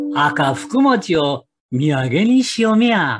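Music plays behind a man as he speaks. His pitch swings very widely. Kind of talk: folk tale storytelling.

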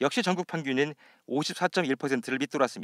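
Silent background and a very clean recording, with lively intonation. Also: man, dry, close sound with no echo. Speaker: news reporter. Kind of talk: news reporting, formal broadcast report. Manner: formal; steady, measured delivery.

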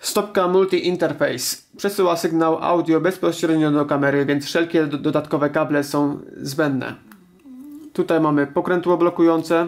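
The background is quiet. The pace is moderate. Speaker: product reviewer. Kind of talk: product review narration. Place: home room.

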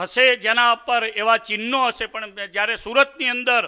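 Against a quiet background, a man uses a raised, projected voice with a bright, sharp tone at an extremely high pitch. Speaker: speaker. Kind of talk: religious address. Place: stage. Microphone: podium.

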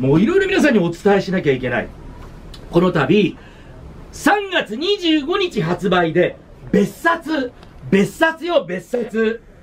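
Pausing long and often, a man with a high voice for his sex speaks with very wide pitch swings. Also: fairly slow pace. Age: 60s. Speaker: radio announcer. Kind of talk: casual chat. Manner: animated. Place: office.

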